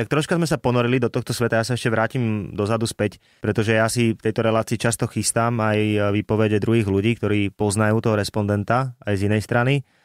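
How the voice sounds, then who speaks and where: In a very clean recording with a silent background, a man talks very fast at a medium pitch, his intonation fairly even and his loudness very even. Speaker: podcast host. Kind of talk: casual interview.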